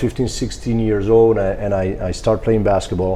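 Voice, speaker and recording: A man's medium-pitched voice comes through with audible room echo and noticeable background noise. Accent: Greek. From Greece. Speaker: strength and conditioning coach. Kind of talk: interview. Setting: sports training facility.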